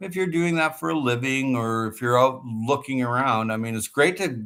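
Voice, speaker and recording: The recording is very clean with a silent background. A man speaks at a medium pitch and a moderate pace with ordinary pitch variation. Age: 60s. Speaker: gardening vlogger. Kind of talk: casual livestream chat. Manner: animated.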